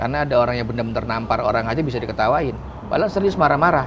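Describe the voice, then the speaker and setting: An animated man's voice amid noticeable background noise. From Jakarta (Betawi). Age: 40s. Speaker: comedian. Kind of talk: interview.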